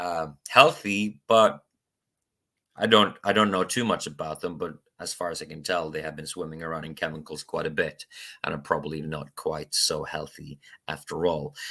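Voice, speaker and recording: A man speaks with a Norwegian accent at a moderate pace, his pitch very deep and low. His tone is bright and sharp, with ordinary pitch variation and big swings in loudness. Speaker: spiritual YouTuber. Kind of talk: casual monologue vlog. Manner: halting, many fillers.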